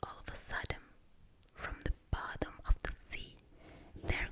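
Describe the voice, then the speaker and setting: Someone whispers over noticeable background noise. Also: woman. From Italy. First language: Italian. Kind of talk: ASMR book reading. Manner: whispering, soft-spoken.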